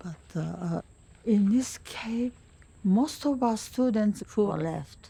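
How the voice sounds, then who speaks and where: A woman's voice has a dark, mellow tone and lively intonation. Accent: Japanese. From Japan, Hiroshima. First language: Japanese. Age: 90s. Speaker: war survivor. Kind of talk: testimony. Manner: halting.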